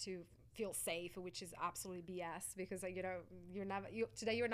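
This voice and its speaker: Speaking at a fairly quick pace, the voice has an Italian accent and a monotone, flat intonation. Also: woman. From Italy, Sicily. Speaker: life coach and actress. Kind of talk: interview.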